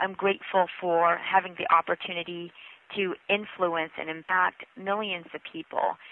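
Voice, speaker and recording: Fairly even intonation carries this woman's speech in a Northwestern US accent. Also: medium pitch for a woman, moderate pace. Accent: American, US Northwest. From Washington State, US (immigrated from the Philippines at 5). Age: 30s. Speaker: author and former TV news reporter. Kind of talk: interview.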